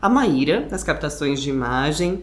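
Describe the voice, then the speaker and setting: Audible room echo and noticeable background noise surround a woman speaking at a moderate pace with fairly even intonation. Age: 20s. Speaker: podcast interviewer. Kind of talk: podcast interview introduction. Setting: living room at the guest's home.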